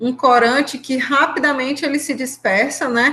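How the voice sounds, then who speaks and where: Her voice is high-pitched for a woman, with a bright, sharp tone. She speaks at a fairly slow pace. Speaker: university professor. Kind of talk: lecture.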